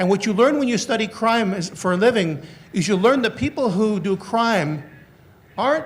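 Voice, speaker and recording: Audible room echo surrounds a man's high-pitched voice. His pitch varies in an ordinary way. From northern Canada. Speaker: criminologist and former police officer. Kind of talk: conference lecture. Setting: conference hall with audience. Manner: fast when excited.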